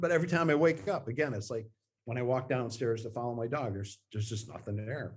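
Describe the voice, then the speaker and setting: A man with a medium pitch talks at a fairly quick pace. His voice is somewhat breathy, with ordinary pitch variation. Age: 50s. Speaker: guest. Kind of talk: interview. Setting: video call. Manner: halting.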